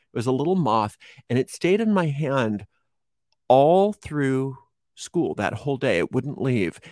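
In an ordinary speaking voice, a man talks at a fairly slow pace with medium pitch and lively intonation, the sound dry and close with no echo. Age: 50s. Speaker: witchcraft teacher and tarot reader. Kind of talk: interview.

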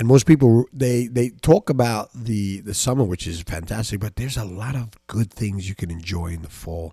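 A man speaks at a moderate pace in a fairly low, somewhat breathy voice. His pitch variation is ordinary. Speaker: podcast host. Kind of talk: solo podcast monologue. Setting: home microphone. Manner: halting, repetitive.

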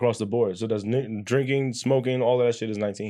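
An ordinary speaking voice from a man with an American accent, medium in pitch with fairly even intonation, at a fairly quick pace against a quiet background. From US, Guyanese family. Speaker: podcast host. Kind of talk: casual chat. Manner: laid-back.

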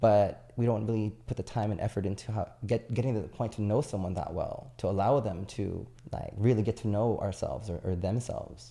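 A man talks at a fairly quick pace with a fairly low pitch and ordinary pitch variation. His tone is dark, mellow and somewhat breathy, on a very clean recording with a silent background. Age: 30s. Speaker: podcast guest. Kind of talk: casual chat.

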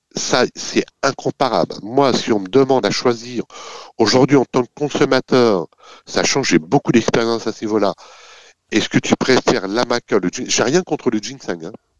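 With big swings in loudness, a man speaks at a moderate pace and medium pitch, using ordinary pitch variation. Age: 50s. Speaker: company executive. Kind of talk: interview. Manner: hesitant, repeats words; enthusiastic.

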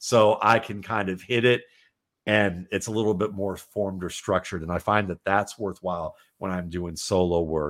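This man has a very deep, low pitch. The recording is very clean, with a silent background. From Cleveland, Ohio. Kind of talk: casual interview chat. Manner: halting, many filler words.

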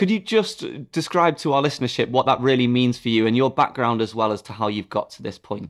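A man in a very clean recording with a silent background: a normal speaking voice, fairly quick pace, hardly any pauses, ordinary pitch variation and big swings in loudness. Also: medium pitch for a man. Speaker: podcast host and company CEO. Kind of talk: interview, conversational.

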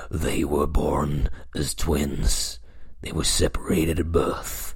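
Over light background noise, a man puts on a dramatic character voice and speaks at a fairly slow pace. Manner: dramatic, narrating.

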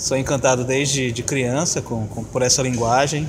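A man at medium pitch, fairly even in intonation, at a fairly slow pace amid noticeable background noise. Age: 40s. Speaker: artist and exhibition curator. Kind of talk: interview.

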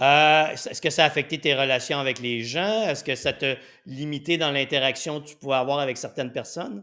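A man with a bright, sharp, fairly high voice talks at a fairly quick pace with ordinary pitch variation and big swings in loudness, in a very clean recording with a silent background. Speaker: weight-loss coach and show host. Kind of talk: interview. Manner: animated.

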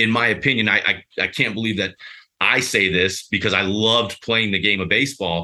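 A man's unremarkable speaking voice, fairly low in pitch, at a fairly quick pace with very even loudness. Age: 40s. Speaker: former baseball player, recruiting service owner. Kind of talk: casual chat. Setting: video call.

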